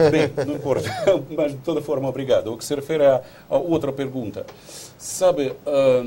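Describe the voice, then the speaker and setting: Noticeable background noise behind a man at a moderate tempo. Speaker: diplomat. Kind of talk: TV interview. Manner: halting.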